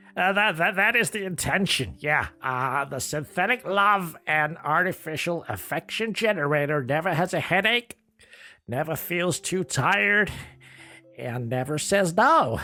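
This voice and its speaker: Put-on character voice from a man, high in pitch, on a very clean recording with a silent background. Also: moderate pace. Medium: comedy sketch. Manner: hesitant, stammering, filler-heavy.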